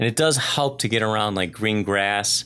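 With lively intonation, a man delivers his words at a fairly quick clip. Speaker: fitness coach and podcast host. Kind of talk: solo podcast monologue, casual. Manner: fast talker; casual, chatty.

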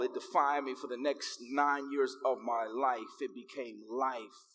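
At a moderate pace, a man with an American accent speaks at a fairly high pitch with ordinary pitch variation. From Chicago, US. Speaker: pastor. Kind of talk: sermon. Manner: animated.

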